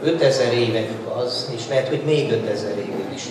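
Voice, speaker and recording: At a moderate pace, a man talks with audible room echo and noticeable background noise around him. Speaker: speaker. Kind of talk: panel talk to audience. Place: hall.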